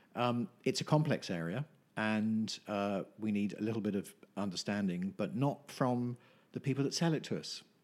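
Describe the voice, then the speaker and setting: A man speaks at a moderate pace with an English accent. His pitch is fairly low, with ordinary pitch variation. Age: 50s. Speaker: nutritionist. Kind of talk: casual chat. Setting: at his home.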